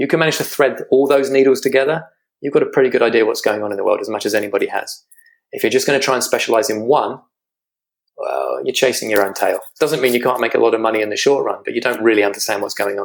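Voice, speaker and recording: A man with a British accent rattles along at a very fast pace. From Britain. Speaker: financial strategist. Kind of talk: interview.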